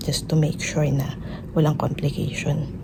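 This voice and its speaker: A woman is heard with audible room echo. Noticeable background noise is present. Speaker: family vlogger. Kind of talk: casual vlog. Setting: hospital room.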